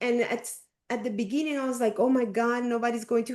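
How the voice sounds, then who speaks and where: A woman's fairly high-pitched voice with a Spanish accent. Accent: Spanish-speaker. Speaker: coaching group facilitator. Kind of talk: group discussion on video call.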